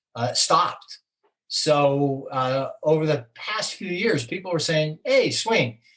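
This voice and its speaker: A man with an American accent, somewhat breathy, at a fairly slow pace. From New Jersey. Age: 60s. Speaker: author and senior basketball player. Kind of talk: interview. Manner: animated, talkative.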